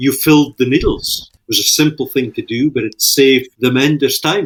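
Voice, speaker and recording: Fairly quick, fairly even speech from a man with a Shetland accent at a medium pitch. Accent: Shetland Scottish. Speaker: fishing industry leader and author. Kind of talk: casual interview chat.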